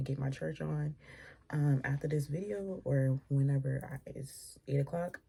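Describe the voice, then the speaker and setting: A woman's voice sits at a very deep, low pitch and is somewhat breathy. The recording is very clean, with a silent background. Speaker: tarot reader. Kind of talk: casual tarot reading monologue. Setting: at home, early morning. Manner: speaking low. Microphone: too quiet.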